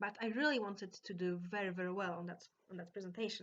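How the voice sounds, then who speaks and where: A woman's medium-pitched voice in a Polish accent, at a fairly quick pace. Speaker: vlogger. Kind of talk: storytelling. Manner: halting.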